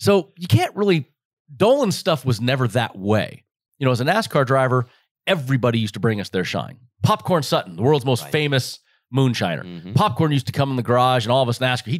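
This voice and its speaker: In a very clean recording with a silent background and a dry, close sound with no echo, a man with an unremarkable speaking voice and an American accent talks fairly quickly in a medium pitch with lively intonation. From Las Vegas, Nevada. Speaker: retired NASCAR driver and moonshine distillery co-owner. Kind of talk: casual chat.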